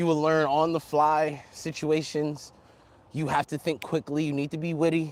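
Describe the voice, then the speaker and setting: This man's fairly high voice keeps a moderate pace and monotone, flat intonation. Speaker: travel vlogger. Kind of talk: casual monologue. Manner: halting, stammering.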